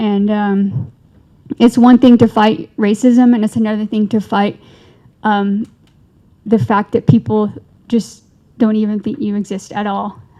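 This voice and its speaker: A woman with a fairly high pitch and a dark, mellow, somewhat breathy tone talks at a fairly slow pace, keeping her intonation fairly even and taking long, frequent pauses. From Navajo Nation. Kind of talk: panel discussion. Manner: halting.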